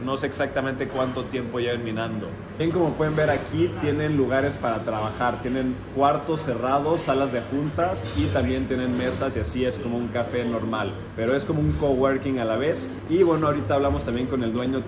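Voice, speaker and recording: With noticeable background noise behind him, a man speaks fairly quickly, his pitch varying in an ordinary way. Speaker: vlogger. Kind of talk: casual vlog chat. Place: cafe. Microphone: phone near.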